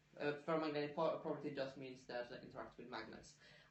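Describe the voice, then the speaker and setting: Recorded with noticeable background noise and audible room echo, a man with a fairly high pitch speaks with an Italian accent. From Italy. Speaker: science podcast co-host, scientist. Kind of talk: casual chat. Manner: hesitant, many fillers.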